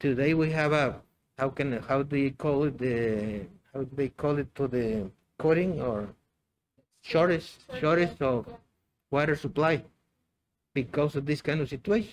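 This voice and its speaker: Taking long, frequent pauses, a man with a Mexican accent speaks at a moderate pace and a fairly high pitch, using ordinary pitch variation. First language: Spanish. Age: 60s. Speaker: biology teacher. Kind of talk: interview. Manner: halting, many fillers and repetitions.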